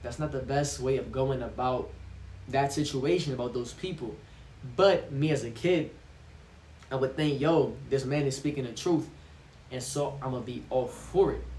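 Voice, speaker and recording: A man at a fairly high pitch with vocal fry, fairly even intonation and a moderate pace, long, frequent pauses and audible room echo. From Brazil. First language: Portuguese. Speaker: vlogger. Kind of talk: casual monologue vlog. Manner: halting, with restarts.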